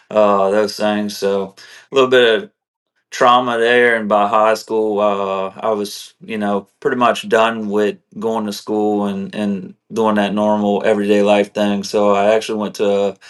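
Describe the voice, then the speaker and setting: Speaking slowly-ish and in a flat monotone, a man talks in a South Louisiana accent. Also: fairly low pitch for a man. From South Louisiana, Morgan City. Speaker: combat veteran. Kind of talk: interview testimony. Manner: casual, many fillers.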